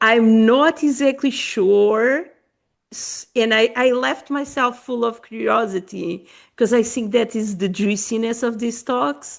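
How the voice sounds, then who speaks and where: A woman speaks at a fairly slow pace with a Portuguese accent. Her fairly high pitch shows ordinary variation, and the background is quiet. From Portuguese-born, raised in Africa. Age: 40s. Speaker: podcast host. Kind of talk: podcast conversation.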